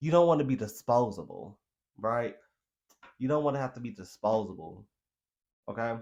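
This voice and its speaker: A man's medium-pitched voice with lively intonation, a moderate pace, and long, frequent pauses. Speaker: tarot card reader. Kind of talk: tarot reading monologue. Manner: halting.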